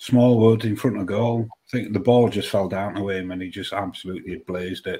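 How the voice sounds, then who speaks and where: Hardly pausing, a man speaks in a dark, mellow tone with fairly even intonation. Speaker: football fan panellist.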